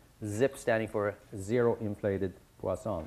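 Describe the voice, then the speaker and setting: A man with a Swedish accent. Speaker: statistics professor teaching a short course. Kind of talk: lecture. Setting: university lecture room with audience. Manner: many fillers and hesitations.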